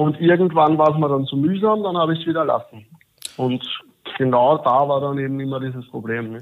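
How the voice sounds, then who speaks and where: This man has an ordinary speaking voice, pitched fairly high. He talks at a fairly quick pace with ordinary pitch variation. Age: 20s. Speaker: coaching client, civil engineer. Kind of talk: interview testimony.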